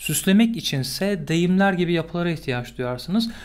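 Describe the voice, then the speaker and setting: A man is speaking. His pace is fairly quick. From Turkey. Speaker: English teacher. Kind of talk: tutorial. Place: home room. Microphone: studio mic.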